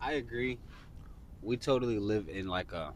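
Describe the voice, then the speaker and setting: A man is speaking. His pace is moderate. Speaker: podcast host. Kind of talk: casual conversation.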